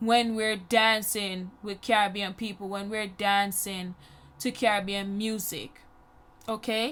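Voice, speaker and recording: Very slow speech from a woman with a Jamaican accent, medium pitch and a bright, sharp tone, very clean recording, silent background. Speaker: YouTuber. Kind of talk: personal storytelling voiceover. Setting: voiceover recorded over makeup video. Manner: casual, conversational.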